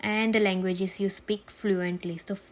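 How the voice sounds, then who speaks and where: A woman with a Gujarati accent, speaking at a fairly slow pace. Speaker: nurse, tutorial creator. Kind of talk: tutorial.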